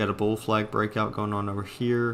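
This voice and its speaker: A man's fairly low-pitched voice with monotone, flat intonation. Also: very clean recording, silent background. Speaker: stock trading streamer. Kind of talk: live stream chart review. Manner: fast; casual, with fillers.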